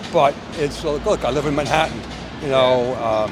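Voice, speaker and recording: Over music in the background and audible room echo, a man with a New York accent talks at a moderate pace, using a fairly high pitch with ordinary variation. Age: 70s. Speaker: retired stock trader. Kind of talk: street interview. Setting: outdoors on a street.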